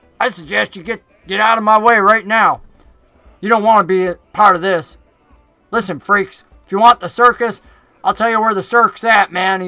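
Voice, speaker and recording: A put-on character voice at a moderate pace, with long, frequent pauses and faint music in the background. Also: man, high pitch for a man. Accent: Southern. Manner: threatening, cocky.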